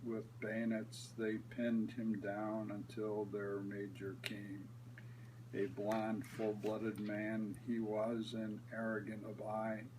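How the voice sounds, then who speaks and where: Over noticeable background noise, a man at a medium pitch talks at a very slow pace in a monotone with flat intonation. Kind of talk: poetry reading.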